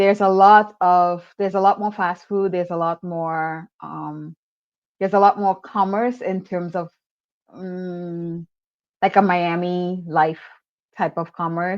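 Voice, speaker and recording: Against a quiet background, a woman with an American accent talks at a fairly slow pace in a fairly low, flat monotone. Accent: switches between Trinidadian and American. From Trinidad and Tobago. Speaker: travel content creator. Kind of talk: interview.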